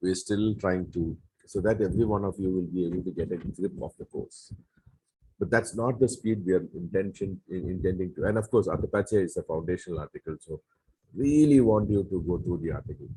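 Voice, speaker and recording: A man speaks at a fairly quick pace with a dark, mellow, somewhat breathy tone. His pitch varies in an ordinary way, and the sound is dry and close with no echo. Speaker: Bible course teacher. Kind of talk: lecture. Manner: halting.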